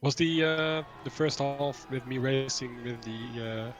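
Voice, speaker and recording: A man at a fairly slow pace with fairly even intonation, music in the background. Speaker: sim racing driver. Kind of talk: post-race interview chat. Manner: halting.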